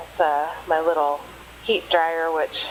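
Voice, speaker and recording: A woman keeps a moderate pace as noticeable background noise carries on around her. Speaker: author and hobby artist. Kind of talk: casual voice-over for art supply unboxing. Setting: low-quality home microphone. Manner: hesitant, casual, many fillers.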